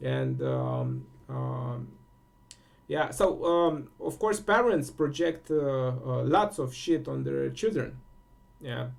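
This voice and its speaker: A man with a Romanian accent speaks at a very slow pace. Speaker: spiritual teacher. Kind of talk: solo monologue contemplation. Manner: halting, many fillers.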